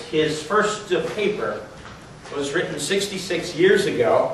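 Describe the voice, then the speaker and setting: Audible echo from the room and light background noise surround a man speaking. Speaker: geology professor. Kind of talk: speaker introduction at a lecture. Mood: warm, admiring. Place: classroom. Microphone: camera far.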